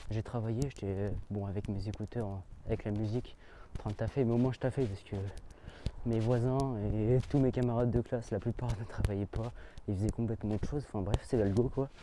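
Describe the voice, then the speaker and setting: A man talks at a fairly quick pace with a medium pitch. His tone is dark and mellow, and his intonation fairly even. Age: young. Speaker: student vlogger. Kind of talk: casual vlog. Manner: fast.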